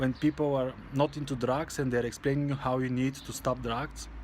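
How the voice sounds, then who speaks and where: At a moderate pace, a man speaks with a non-native accent. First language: not English. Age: 20s. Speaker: vlogger. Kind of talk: personal vlog monologue. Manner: halting.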